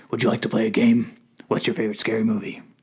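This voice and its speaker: Someone performs a put-on character voice. The delivery runs at a very fast pace. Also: man, medium pitch for a man. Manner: spooky, menacing, teasing.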